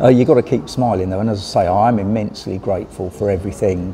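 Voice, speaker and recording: Over noticeable background noise, a man with a British accent talks at a very fast pace. His pitch is fairly low and his intonation fairly even. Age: 60s. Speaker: vlogger and cyclist. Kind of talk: casual vlog talk to camera. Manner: hesitant, many fillers.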